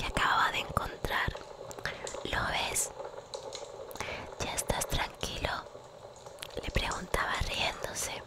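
A soft-spoken, whispering woman with a dry sound, no echo, and loud background noise. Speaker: ASMR storyteller. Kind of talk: soft storybook reading. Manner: soft whispered bedtime story reading. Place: home room. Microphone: studio mic.

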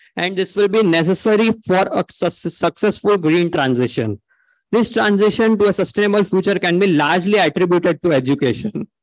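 Speaking at a fairly quick pace, a man with an Indian accent has a high pitch, and the sound is dry with no echo. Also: ordinary pitch variation, very even loudness, quiet background. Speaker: engineering student; conference presenter. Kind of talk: conference presentation. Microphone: video call.

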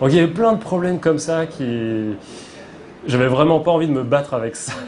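The delivery is fairly quick with lively intonation. Noticeable background noise is present. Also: man. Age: 30s. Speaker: comic book author. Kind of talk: interview.

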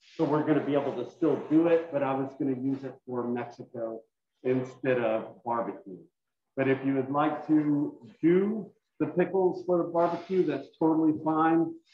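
Audible room echo surrounds the voice of a man. There is light background noise as well. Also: ordinary pitch variation, moderate pace. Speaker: culinary instructor. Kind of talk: tutorial. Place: kitchen. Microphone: video call.

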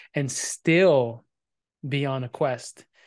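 A man with a fairly high pitch speaks against a quiet background. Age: 40s. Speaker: podcast host. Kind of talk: casual interview chat. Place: home room. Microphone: studio mic.

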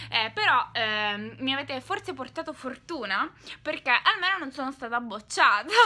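Her high-pitched, bright, sharp voice is raised and projected, moving at a moderate pace through very wide pitch swings. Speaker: vlogger. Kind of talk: casual vlog. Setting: bedroom. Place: home room. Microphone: phone near.

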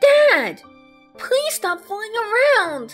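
A woman's cartoonish character voice, extremely high-pitched, slow-paced, with big pitch swings and faint music in the background

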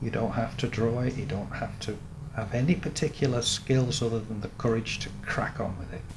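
A man talks at a fairly quick pace with ordinary pitch variation. Noticeable background noise runs behind him. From Salford, England. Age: 60s. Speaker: painter. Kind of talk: interview answer. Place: workshop.

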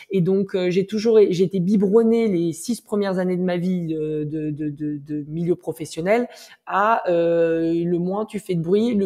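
A woman's medium-pitched voice with a dark, mellow tone, ordinary pitch variation and a fairly slow pace. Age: 30s. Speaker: entrepreneur, startup co-founder. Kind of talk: interview.

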